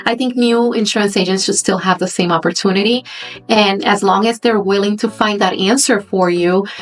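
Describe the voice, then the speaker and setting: Her loudness stays very even as a woman talks at a fairly quick pace with medium pitch and ordinary pitch variation. Background noise is noticeable. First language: Spanish. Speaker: insurance agent. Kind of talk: interview.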